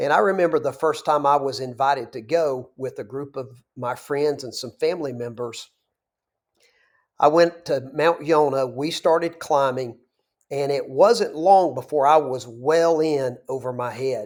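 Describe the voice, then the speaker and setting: At a fairly slow pace, a man with a Southern US accent speaks at a fairly high pitch with ordinary pitch variation. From US South, North Georgia. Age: 50s. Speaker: business broker. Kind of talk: tutorial; direct-to-camera talk.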